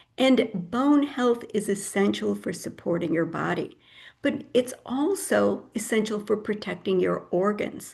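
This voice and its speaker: At a fairly slow pace, a woman speaks in a medium pitch with vocal fry and lively intonation. The background is quiet. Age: 70s. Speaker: health educator speaker. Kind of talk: lecture.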